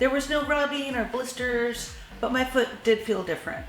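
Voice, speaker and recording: A woman at a moderate pace with ordinary pitch variation, amid audible room echo and noticeable background noise. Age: 60s. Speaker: shoe reviewer. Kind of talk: product review. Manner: animated.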